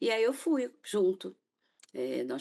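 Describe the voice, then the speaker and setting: This woman has a fairly low pitch and a dark, mellow tone. Her pitch swings very widely. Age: 60s. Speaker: author and caregiver of mother with Alzheimer's. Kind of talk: TV interview testimony. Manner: halting, with frequent fillers.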